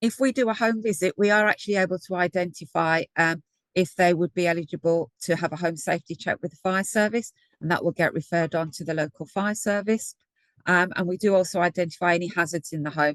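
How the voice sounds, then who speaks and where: Talking very fast in a Brummie accent, a woman keeps a fairly low pitch with ordinary variation, recorded dry and close with no echo against a quiet background. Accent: Birmingham (Brummie). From Birmingham, English Midlands. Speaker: energy advice programme lead. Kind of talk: webinar presentation.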